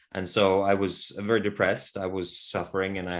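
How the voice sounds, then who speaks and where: On a very clean recording with a silent background, a man with a Norwegian accent speaks at a fairly slow pace. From Norway. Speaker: men's work facilitator. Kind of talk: interview conversation. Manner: reflective, hesitant with fillers.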